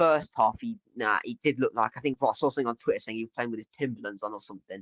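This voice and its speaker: A man with an American accent, very fast delivery, very wide pitch swings, and a dry, close sound with no echo. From English Midlands. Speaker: football fan streamer. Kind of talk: live watchalong chat. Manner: casual, many fillers.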